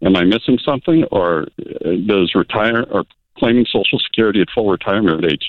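With an unremarkable speaking voice, a man talks fairly quickly at a fairly low pitch that varies in an ordinary way. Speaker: caller. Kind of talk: phone-in call. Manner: brisk.

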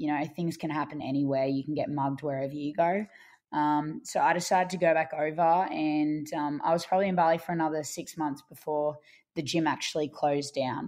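In an Australian accent, a woman with a very deep, low pitch speaks fairly quickly and with fairly even intonation against a quiet background. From Australia, Brisbane. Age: 20s. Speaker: ultramarathon runner. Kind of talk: interview.

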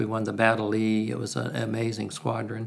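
In an unremarkable speaking voice, a man with an American accent talks fairly quickly at a medium pitch. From US South (Alabama, Carolinas). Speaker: retired navy attack pilot. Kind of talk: interview.

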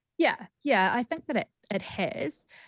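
A woman speaks in a New Zealand accent. Her voice sounds dry and close with no echo, against a quiet background. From New Zealand, Greymouth. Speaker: clinical psychologist and author. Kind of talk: radio interview. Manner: halting, with repetitions.

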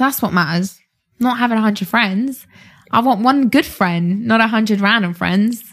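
At a moderate pace, the somewhat breathy voice holds a very even loudness with ordinary pitch variation. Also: woman, fairly high pitch for a woman. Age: 20s. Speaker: fitness entrepreneur. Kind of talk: casual interview. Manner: animated.

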